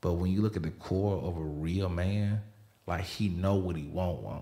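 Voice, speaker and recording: With a Southern US accent, a man speaks at a very deep, low pitch with ordinary pitch variation. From US South (Alabama). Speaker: podcast host and photographer. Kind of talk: casual interview.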